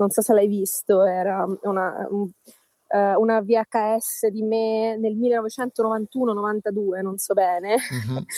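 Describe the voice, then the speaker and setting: In a dry, close sound with no echo, a woman speaks very slowly at a fairly high pitch, her tone dark and mellow and her intonation fairly even. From southern Calabria. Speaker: professor. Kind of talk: casual chat. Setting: outdoors by the sea.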